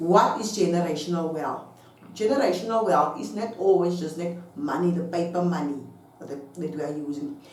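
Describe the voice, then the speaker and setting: Her loudness swings widely as she talks at a moderate pace, with lively intonation and a fairly low pitch for a woman. Noticeable background noise and audible room echo fill the recording. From South Africa. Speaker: online business vlogger. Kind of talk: casual talk to camera. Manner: halting.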